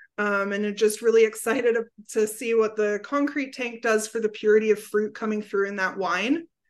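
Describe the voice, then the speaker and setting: An unremarkable speaking voice with fairly even intonation comes through over a quiet background. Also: woman. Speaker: assistant winemaker. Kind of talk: casual chat.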